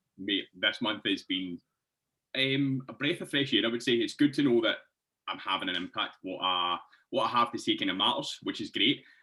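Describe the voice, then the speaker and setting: This voice moves at a moderate pace with a Scottish accent. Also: man. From Scotland, Hamilton near Glasgow. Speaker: fitness coach. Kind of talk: casual podcast interview.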